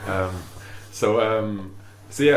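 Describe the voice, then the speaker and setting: In a Yorkshire accent, a man with a fairly low voice speaks with ordinary pitch variation, and audible room echo surrounds him. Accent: Wakefield. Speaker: musician and cassette label co-founder. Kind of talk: casual chat.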